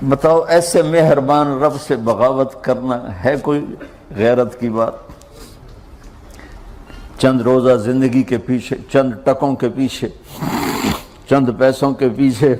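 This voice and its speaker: With a passionate tone, a man speaks at a medium pitch and fairly even intonation. Noticeable background noise runs behind him. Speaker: Islamic preacher. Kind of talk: Islamic sermon (bayan). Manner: emotional, motivational, passionate.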